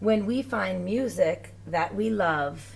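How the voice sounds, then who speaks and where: A female-sounding put-on character voice speaks at a very slow pace in a middle pitch. Background noise is clearly heard. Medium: read story.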